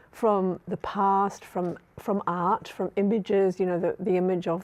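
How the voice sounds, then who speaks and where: With a dark, mellow tone, a woman talks at a moderate pace and medium pitch in a flat, monotone delivery. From New Zealand. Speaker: social psychology academic. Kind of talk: panel discussion. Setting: studio.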